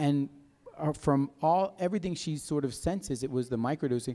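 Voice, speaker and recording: With a dark, mellow tone, a man talks at a fairly quick pace in a fairly high pitch with ordinary pitch variation. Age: 50s. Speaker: microdosing coach and vendor. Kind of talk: festival talk. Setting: stage with audience. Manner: animated. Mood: candid, storytelling. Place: hall. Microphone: handheld.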